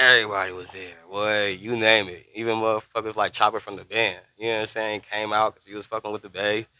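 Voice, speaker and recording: Barely pausing, a man rushes along at a very fast pace with a fairly low, flat, monotone delivery and big swings in loudness. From Northern California, Bay Area (Fairfield). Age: 50s. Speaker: rapper. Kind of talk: casual interview chat.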